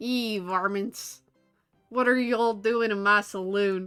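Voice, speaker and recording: Over faint music in the background, a woman puts on a character voice in a Southern accent, at medium pitch and a fairly slow pace, with fairly even intonation. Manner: staying in character.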